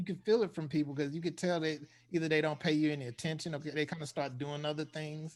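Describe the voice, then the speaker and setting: A man with a Southern US accent, fairly high in pitch, at a very fast pace with fairly even intonation over a quiet background. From US South, eastern North Carolina. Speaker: air force veteran, co-host. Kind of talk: casual interview chat.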